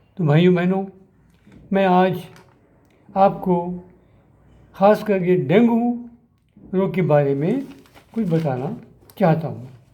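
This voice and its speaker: A man's high-pitched voice with a dark, mellow tone, ordinary pitch variation, long and frequent pauses, and audible room echo. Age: 80s+. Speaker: doctor and drug researcher. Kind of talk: health talk to camera. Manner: formal.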